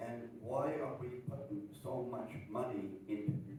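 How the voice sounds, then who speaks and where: There is audible room echo around a man whose somewhat breathy voice has a dark, mellow tone and medium pitch. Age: 70s. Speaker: audience member. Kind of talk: audience question. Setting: live event with audience. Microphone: no microphone at first.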